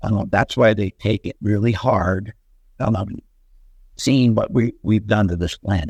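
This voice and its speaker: This man speaks at a fairly slow pace with fairly even intonation. His fairly low voice is somewhat breathy, in a dry, close sound with no echo. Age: 70s. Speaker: fairy encounter witness. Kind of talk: interview. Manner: halting, many fillers. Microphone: poor audio quality.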